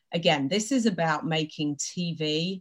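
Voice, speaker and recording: A woman's very deep, low-pitched, somewhat breathy voice at a fairly slow pace, on a very clean recording with a silent background. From Britain. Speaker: company president in TV advertising measurement. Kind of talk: casual interview on a live stream.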